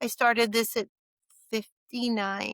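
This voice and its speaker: At a moderate pace, a woman speaks with a fairly high pitch in a dry, close sound with no echo. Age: 60s. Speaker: podcast guest sharing her health journey. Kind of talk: interview conversation. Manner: halting, with many restarts.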